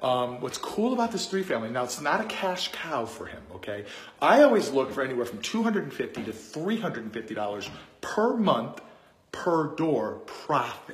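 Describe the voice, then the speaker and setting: Very wide pitch swings run through this fairly quick delivery. Audible room echo surrounds the voice. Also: man. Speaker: real estate investor and coach. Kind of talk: casual vlog talk to camera. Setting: indoors in a rental unit. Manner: conversational, with many fillers.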